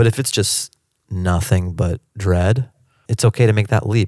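This man has a fairly low voice, an American accent, and a dark, mellow tone. His delivery is somewhat breathy, and the sound is dry and close with no echo. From US Pacific Northwest (Seattle). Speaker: stand-up comedian. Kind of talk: interview. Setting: in person, Washington DC.

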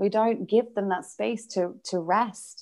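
A woman's medium-pitched voice with a British accent, fairly slow pace and ordinary pitch variation. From United Kingdom. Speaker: business mentor and author. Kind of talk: interview conversation.

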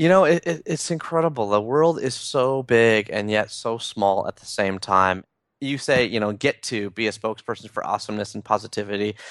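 A man speaks in a plain, everyday voice at medium pitch, at a fairly quick pace with hardly any pauses. His loudness swings widely, his intonation is lively, and the background is quiet. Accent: Canadian. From Toronto, Canada. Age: 30s. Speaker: author. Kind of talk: interview.

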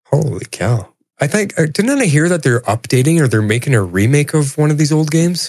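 With a normal speaking voice, a man talks at a fairly quick pace and a fairly high pitch, keeping his loudness very even. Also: lively intonation. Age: 50s. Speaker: returning podcast guest. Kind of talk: casual chat.

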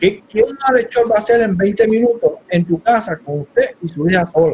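Here a man speaks at a high pitch. His pace is moderate. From Puerto Rico (Yabucoa). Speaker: congressional candidate. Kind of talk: political interview.

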